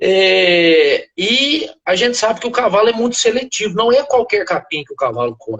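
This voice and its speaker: The man barely pauses at any point. His pace is moderate. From southern Minas Gerais, Brazil. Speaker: veterinarian and animal nutrition expert. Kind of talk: interview on a live stream. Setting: live video call. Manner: hesitant, frequent filler words.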